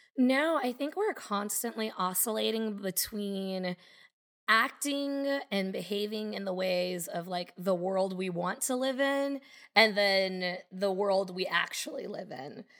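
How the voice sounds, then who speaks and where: A woman with a plain, everyday voice speaks at a medium pitch, with ordinary pitch variation and a fairly slow pace. The recording is very clean with a silent background. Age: 30s. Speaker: memoir author. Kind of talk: casual interview chat.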